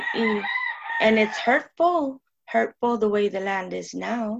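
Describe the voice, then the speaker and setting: The woman's voice has a fairly high pitch. The sound is dry and close, with no echo. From Tucson, Arizona. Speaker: neighborhood resident and advocate. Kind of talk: podcast interview discussion.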